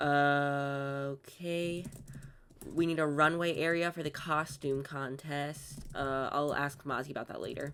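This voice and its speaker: Her pitch sits very deep and low. The speaker is a woman. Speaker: gaming YouTuber. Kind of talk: gameplay commentary. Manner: monotone.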